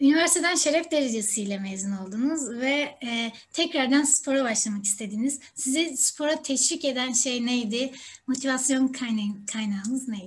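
At a moderate pace, a woman speaks in a high voice with ordinary pitch variation. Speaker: interviewer. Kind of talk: interview questions. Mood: friendly, smiling.

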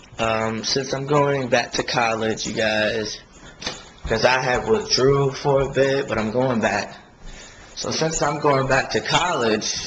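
Light background noise sits behind a man talking. He speaks at a fairly slow pace with ordinary pitch variation. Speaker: vlogger. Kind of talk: casual vlog chat. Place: home room. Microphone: phone near.

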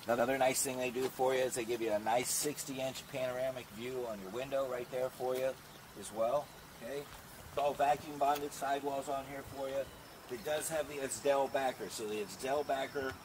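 Moderate pace and fairly even intonation from a man over noticeable background noise. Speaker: RV salesperson. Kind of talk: product walkthrough. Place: street.

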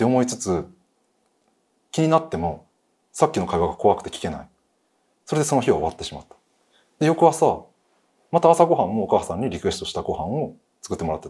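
A man at a very fast pace, with long, frequent pauses, big swings in loudness and a quiet background. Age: 30s. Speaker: guest. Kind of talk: storytelling. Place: studio.

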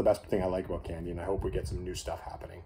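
A man with a Canadian accent speaks in a dark, mellow tone that is somewhat breathy. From Canada. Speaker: candy reviewer YouTuber; candy reviewer. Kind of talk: casual vlog monologue. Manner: hesitant, many fillers. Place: home room. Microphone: phone near.

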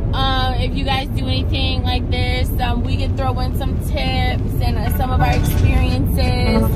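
A woman at a fairly slow pace, dry with no echo, over loud background noise. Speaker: vlogger passenger. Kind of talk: casual vlog chat. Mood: excited, laughing. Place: car. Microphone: phone near.

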